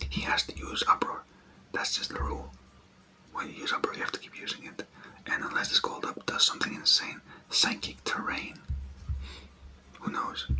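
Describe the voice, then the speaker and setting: Whispering comes through noticeable background noise with long, frequent pauses. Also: moderate pace. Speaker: ASMR creator. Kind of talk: whispered ASMR game commentary. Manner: soft-spoken.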